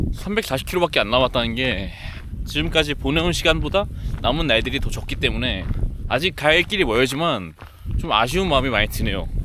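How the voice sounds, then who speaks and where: A man talking at a very fast pace with very wide pitch swings, amid noticeable background noise. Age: 20s. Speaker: travel vlogger. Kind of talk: travel vlog narration.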